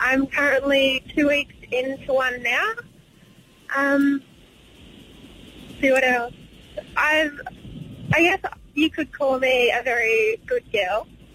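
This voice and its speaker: A woman's high voice at a very slow pace, with long, frequent pauses, very even loudness and noticeable background noise. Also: ordinary pitch variation. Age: young. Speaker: caller on a dating talk show. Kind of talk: casual chat. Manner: halting.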